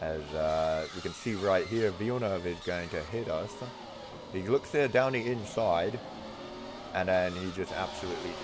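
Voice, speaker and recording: Very deep, low-pitched male speech at a moderate pace, ordinary pitch variation, audible room echo and noticeable background noise. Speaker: gaming video creator. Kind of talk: live gameplay commentary. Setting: at home. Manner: soft-spoken.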